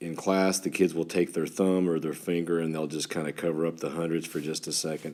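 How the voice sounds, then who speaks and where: This man has a West Texas accent. His voice is very deep and low in pitch, with a dark, mellow tone. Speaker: third grade teacher. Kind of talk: tutorial. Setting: screen recording with stylus. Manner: halting, some stammers; teacher-like, talking to students.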